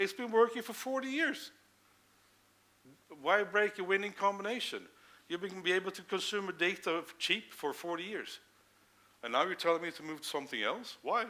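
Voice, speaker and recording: A man's high, raised and projected voice, bright and sharp in tone, with lively intonation, a moderate pace and long, frequent pauses. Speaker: conference speaker, integration manager. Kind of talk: conference Q&A.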